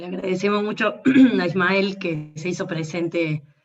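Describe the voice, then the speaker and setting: Talking very slowly, a woman keeps her intonation fairly even. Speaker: online event moderator. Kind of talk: moderating an online talk, reading viewer messages.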